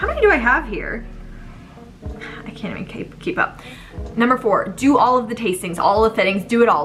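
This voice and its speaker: A woman with a fairly high pitch sounds animated, with lively intonation. Background noise is noticeable. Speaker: vlogger, bride-to-be. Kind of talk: casual vlog monologue. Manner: fast.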